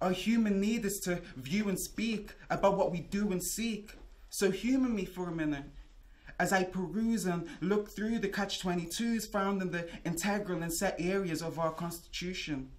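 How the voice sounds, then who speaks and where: This man talks at a fairly slow pace. He speaks in a Liverpool accent. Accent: Liverpool (Scouse). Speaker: spoken word artist. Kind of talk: spoken word performance. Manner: rhythmic. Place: hall. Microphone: camera far.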